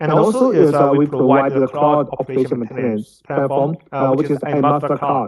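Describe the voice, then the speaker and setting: A man speaks with a Chinese accent in a fairly high pitch. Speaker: product presenter. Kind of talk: technical presentation. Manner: halting, many fillers.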